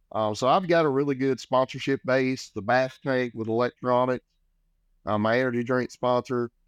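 A man with an American accent at medium pitch, moderate pace and fairly even intonation, in a dry, close recording with no echo and a quiet background. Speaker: professional angler and fishing show host. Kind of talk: casual interview.

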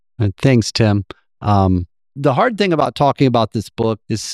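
A man talks with a plain, everyday voice, fairly low in pitch and with lively intonation. The sound is dry and close with no echo, on a very clean recording with a silent background. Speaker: podcast host and co-author. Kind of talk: live moderated book event. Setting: stage with audience at book festival.

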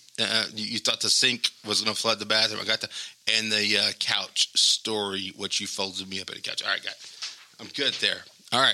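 Against noticeable background noise, a man with a fairly low pitch talks at a moderate pace with big swings in loudness. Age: 40s. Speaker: podcast host. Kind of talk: casual chat. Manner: animated.

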